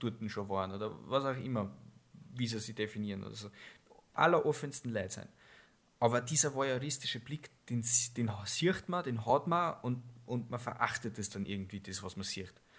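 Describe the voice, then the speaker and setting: A man's medium-pitched voice at a moderate pace, with ordinary pitch variation, big swings in loudness and long, frequent pauses. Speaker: podcast co-host. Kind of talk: casual chat.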